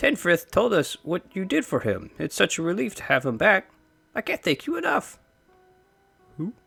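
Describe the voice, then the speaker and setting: Using a put-on character voice, a man speaks at a moderate pace with a high pitch, very wide swings and long, frequent pauses. Faint music sits in the background, and the sound is dry and close with no echo. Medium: read story. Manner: warm, effusive.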